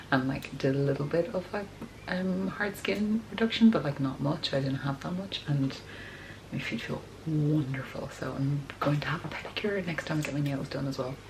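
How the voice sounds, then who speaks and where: A woman's very deep, low voice with lively intonation at a moderate pace, over noticeable background noise. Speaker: vlogger. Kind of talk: casual chat. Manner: chatty.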